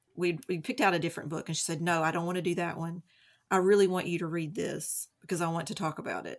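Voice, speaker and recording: At a very fast pace, a woman with a fairly low pitch speaks with fairly even intonation. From Eastern Kentucky (Hindman, Knott County). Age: 40s. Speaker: stay-at-home mom, book lover. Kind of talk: casual interview chat.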